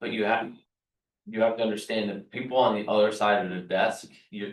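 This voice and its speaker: In a room with an audible echo, a man speaks at a fairly low pitch. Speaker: real estate team leader / trainer. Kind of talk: training session. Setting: meeting room with group. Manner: fast.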